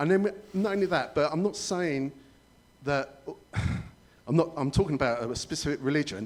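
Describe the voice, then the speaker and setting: A man talks in a southern English accent at a moderate pace, with long, frequent pauses. His pitch is fairly high and varies in an ordinary way. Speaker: resident asking questions at public meeting. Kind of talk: public meeting question. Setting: public meeting hall with audience.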